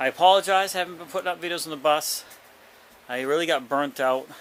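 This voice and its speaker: Someone mumbles over noticeable background noise. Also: man. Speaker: vlogger caring for a parent. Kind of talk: casual vlog. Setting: basement, handheld camera. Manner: mumbling; rambling, halting with fillers.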